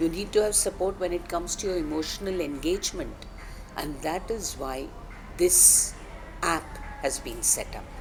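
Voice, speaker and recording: A woman at a moderate pace, with long, frequent pauses and noticeable background noise. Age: 60s. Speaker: company founder. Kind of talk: interview.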